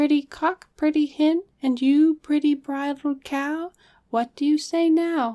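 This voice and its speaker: A woman's put-on character voice, high-pitched and fairly slow. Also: very clean recording, silent background. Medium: read story. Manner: ritual, sing-song.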